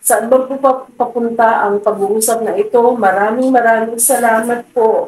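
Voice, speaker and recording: A woman with a fairly high pitch speaks in monotone, flat intonation. She leaves hardly any pauses. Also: moderate pace. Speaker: vlogger. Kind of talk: emotional thank-you speech. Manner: halting.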